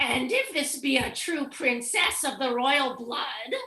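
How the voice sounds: A put-on character voice, female-sounding and high-pitched for a woman, at a fairly slow pace.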